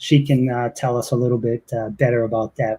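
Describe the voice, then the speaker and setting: A somewhat breathy man with a Boston accent and ordinary pitch variation. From Boston, Massachusetts. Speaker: podcast host. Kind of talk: interview.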